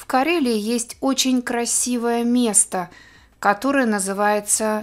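A woman at a very slow pace, her voice fairly high. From Karelia, Russia. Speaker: Russian language teacher. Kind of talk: language lesson. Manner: slow, clear.

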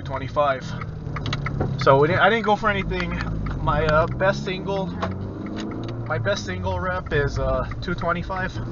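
Over loud background noise, a man talks at a fairly slow pace with long, frequent pauses, the sound dry with no echo. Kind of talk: casual vlog chat. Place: car. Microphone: camera far.

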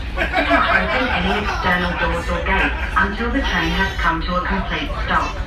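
Clear music plays behind a woman who talks at a moderate pace, with audible room echo. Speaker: train safety announcer. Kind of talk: public safety announcement. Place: train.

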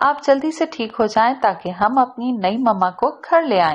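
Very wide pitch swings over a quiet background. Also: woman. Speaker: audiobook narrator. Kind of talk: audio novel narration. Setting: studio voice-over recording. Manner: expressive storytelling, shifting tone between narration and character dialogue.

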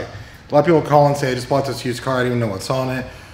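Audible room echo surrounds a man as he speaks. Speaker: presenter. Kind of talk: casual shop video commentary. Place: workshop. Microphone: phone near.

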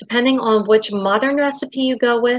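A woman talks at a moderate pace with fairly even intonation, her voice dry with no echo against a quiet background. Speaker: presenter. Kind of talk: lecture. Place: home room. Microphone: webcam.

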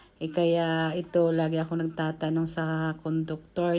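Soft-spoken, a woman talks at a fairly slow pace. Her intonation is monotone and flat, against a quiet background. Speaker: vlogger. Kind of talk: travel vlog. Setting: on a bus.

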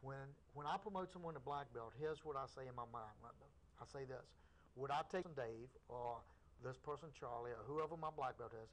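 A man's voice at a moderate pace, with ordinary pitch variation. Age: 50s. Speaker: karate instructor. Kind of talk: interview on local cable access show. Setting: TV studio. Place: studio.

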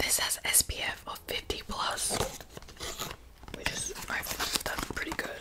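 A woman speaks at a fairly slow pace against loud background noise. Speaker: ASMR creator. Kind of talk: ASMR whispered unboxing. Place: home room. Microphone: studio mic.

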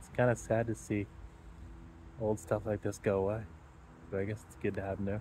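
A man talks at a very fast pace in a fairly low pitch, with a dark, mellow, somewhat breathy tone, fairly even intonation, a dry sound with no echo, and light background noise. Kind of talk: casual vlog chat. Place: open country. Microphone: phone near.

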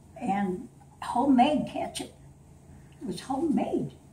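A woman speaks fairly slowly at a high pitch with very wide pitch swings. Audible room echo and light background noise surround her. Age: 80s+. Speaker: grandmother telling a family story. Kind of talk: storytelling to family. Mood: warm, playful. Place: home room. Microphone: camera far.

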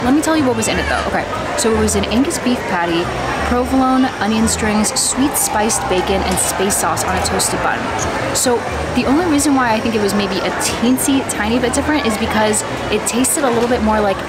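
A woman at a fairly quick pace, ordinary pitch variation, and loud background noise. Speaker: food vlogger. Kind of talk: casual vlog chat. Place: cafe. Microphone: phone near.

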